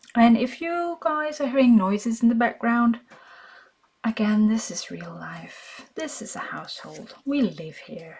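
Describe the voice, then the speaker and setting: Pitched fairly high, a woman speaks at a fairly slow pace with very wide pitch swings. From Denmark. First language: Danish. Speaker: craft video maker. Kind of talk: casual crafting tutorial chat. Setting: at home. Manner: casual, occasionally halting.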